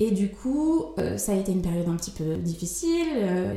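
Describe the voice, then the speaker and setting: The pitch swings very widely at a moderate pace. Audible room echo and noticeable background noise are present. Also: woman. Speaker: interior architect. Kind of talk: interview. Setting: at her home. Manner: lively; hesitant with repetitions.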